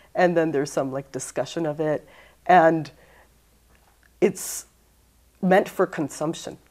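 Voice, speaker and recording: Against a quiet background, a woman talks at a fairly slow pace with long, frequent pauses. Her pitch is fairly low and her intonation fairly even. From US, Los Angeles area; California. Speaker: poet and English teacher; poet, English teacher. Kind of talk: poetry reading; interview answer. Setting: library. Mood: warm, reflective. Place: studio.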